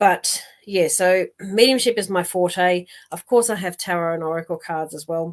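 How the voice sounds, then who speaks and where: A woman at medium pitch with an Australian accent, moderate pace, ordinary pitch variation and big swings in loudness. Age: 60s. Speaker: psychic medium. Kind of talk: live stream chat with viewers. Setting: live online stream. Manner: casual, full of fillers and repeats.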